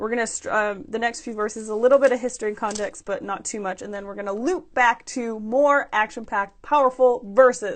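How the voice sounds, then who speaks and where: A woman speaks fairly quickly, with hardly any pauses, in a fairly high voice with ordinary pitch variation. Her tone is animated and excited, with big swings in loudness against a quiet background. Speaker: scripture study vlogger. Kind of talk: scripture study with reading aloud. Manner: animated, excited; halting with fillers.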